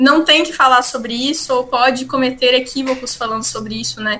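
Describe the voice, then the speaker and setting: A woman's raised, projected voice, high in pitch, with fairly even intonation and a moderate pace. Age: 20s. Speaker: social sciences student and parliamentary aide. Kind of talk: podcast interview. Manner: hesitant, many filler sounds.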